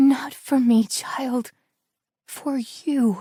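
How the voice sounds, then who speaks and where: A woman's hoarse whispering in a put-on character voice. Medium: read story.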